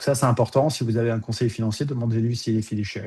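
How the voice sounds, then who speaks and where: This man's voice is somewhat breathy, with ordinary pitch variation, against a quiet background. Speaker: financial advisor. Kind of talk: webinar presentation. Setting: video call. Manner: hesitant with many fillers.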